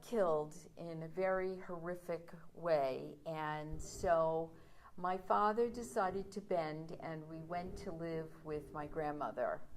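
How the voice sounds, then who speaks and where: A woman with an American accent and a fairly low pitch talks at a very slow pace with ordinary pitch variation, amid noticeable background noise and audible room echo. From New York City (Brooklyn, Coney Island). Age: 60s. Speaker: storyteller. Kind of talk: personal storytelling.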